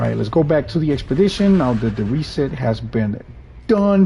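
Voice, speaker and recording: A man speaks with a Spanish accent. Noticeable background noise can be heard. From Puerto Rico. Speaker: gaming streamer. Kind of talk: live gameplay commentary. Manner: casual, with self-corrections.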